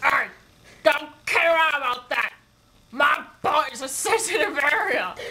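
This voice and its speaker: High-pitched cartoonish character voice at a fairly slow pace, with long, frequent pauses. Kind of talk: comedy puppet sketch. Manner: whiny, demanding.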